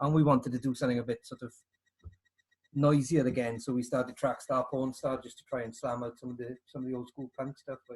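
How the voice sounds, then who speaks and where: Delivery is very fast, somewhat breathy, and monotone with flat intonation, with big swings in loudness. The sound is dry and close with no echo. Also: man, medium pitch for a man. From Wales, South Wales Valleys (New Tredegar). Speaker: punk drummer. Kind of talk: casual interview.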